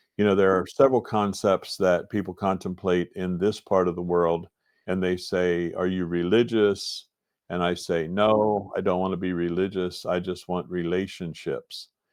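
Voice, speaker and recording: A man's very deep, low voice with an American accent, monotone and flat, at a moderate pace. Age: 60s. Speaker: retired agribusiness owner. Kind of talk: podcast interview.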